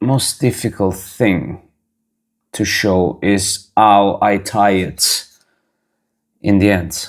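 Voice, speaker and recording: With a non-native accent, a man speaks at a fairly low pitch with vocal fry. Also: very clean recording, silent background. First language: not English. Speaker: razor craftsman and channel host. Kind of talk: tutorial. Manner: halting.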